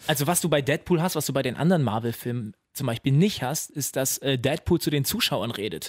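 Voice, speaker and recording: Fairly high in pitch and fairly quick, a man uses a normal speaking voice with ordinary pitch variation in a very clean recording with a silent background. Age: 20s. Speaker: new podcast co-host. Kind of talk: casual chat.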